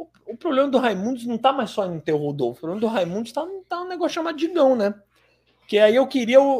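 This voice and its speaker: A man talks at a very fast pace in an extremely high pitch. His pitch swings very widely. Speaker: podcast host. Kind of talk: casual chat. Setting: live stream.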